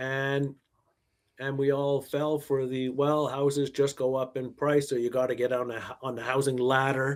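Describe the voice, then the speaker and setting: Speaking with a Canadian accent, a man has a fairly high pitch. He goes at a fairly slow pace. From Quebec, Montreal. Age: 60s. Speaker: investment manager and author. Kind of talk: podcast interview.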